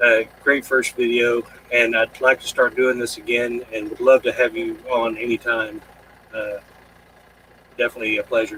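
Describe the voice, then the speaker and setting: A man with long, frequent pauses, recorded dry and close with no echo, over noticeable background noise. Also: moderate pace. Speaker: live stream host. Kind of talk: casual chat. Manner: halting.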